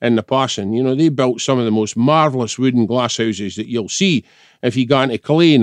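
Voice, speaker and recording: The speech moves at a fairly quick pace with ordinary pitch variation in a dry, close sound with no echo and a quiet background. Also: man. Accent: Scottish. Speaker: head gardener and garden historian. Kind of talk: casual chat.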